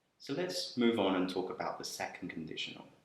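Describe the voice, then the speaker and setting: Very fast speech with a British accent. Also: man. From UK. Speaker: English teacher. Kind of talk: grammar lesson to camera.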